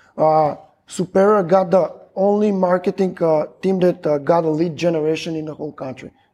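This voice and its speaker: With a high pitch yet a dark, mellow tone, a man speaks at a moderate pace with fairly even intonation. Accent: Macedonian. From North Macedonia, Stip. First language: Macedonian. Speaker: logistics company employee. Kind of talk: casual chat. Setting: restaurant.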